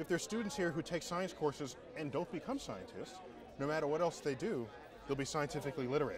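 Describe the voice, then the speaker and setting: Crowd noise fills the background as a man talks at a fairly quick pace, the sound dry with no echo. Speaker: guest. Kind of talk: interview answer. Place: open country. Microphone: lapel.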